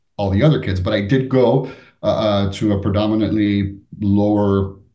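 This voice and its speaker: A man's fairly low, somewhat breathy voice with a dark, mellow tone and ordinary pitch variation. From Florida (Miami area), born in Cuba. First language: Spanish. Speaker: business executive and author. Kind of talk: interview conversation.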